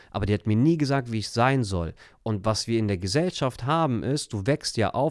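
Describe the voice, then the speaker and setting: On a very clean recording with a silent background and a dry, close sound free of echo, a man with a plain, everyday voice talks at a moderate pace in a medium pitch, with ordinary pitch variation. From Germany, Turkish family. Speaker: life coach. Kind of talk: casual interview.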